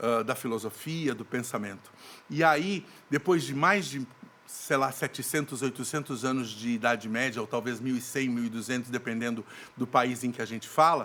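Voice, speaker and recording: Bright and sharp in tone, a man speaks with a medium pitch and ordinary pitch variation. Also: moderate pace. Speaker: actor and theatre director. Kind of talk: podcast interview.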